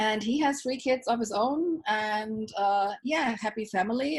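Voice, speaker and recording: Somewhat breathy female speech, fairly slow, with lively intonation over a quiet background. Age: 60s. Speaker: self-love coach. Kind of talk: interview.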